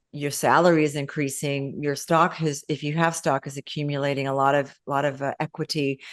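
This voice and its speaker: Flat, monotone delivery at a fairly quick clip, hardly any pauses, against a quiet background. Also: woman, very deep, low pitch for a woman. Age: 60s. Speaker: consultant and business founder. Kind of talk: interview. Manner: halting.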